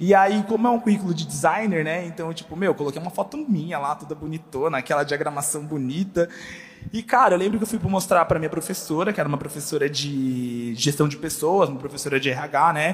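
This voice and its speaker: Noticeable background noise runs under this recording. A man talks at a fairly quick pace in a fairly high voice, with ordinary pitch variation. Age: 20s. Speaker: church communications staff. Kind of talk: panel discussion. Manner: casual slangy.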